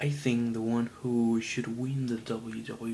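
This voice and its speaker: A man speaks with a Colombian accent over noticeable background noise. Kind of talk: casual talk to camera.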